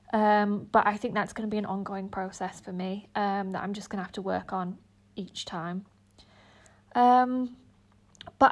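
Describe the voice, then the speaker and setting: This woman has a fairly high pitch and fairly even intonation, speaking at a moderate pace on a very clean recording with a silent background. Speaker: drama student. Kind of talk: reflective monologue. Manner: hesitant, many fillers.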